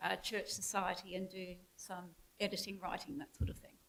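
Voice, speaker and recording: A woman talks with an Australian accent. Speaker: theologian and former lecturer. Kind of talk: interview then talk.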